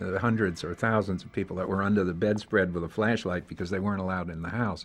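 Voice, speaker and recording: Music plays in the background. A man speaks in a very deep, low pitch. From New York City, the Bronx. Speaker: film industry associate. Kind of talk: interview.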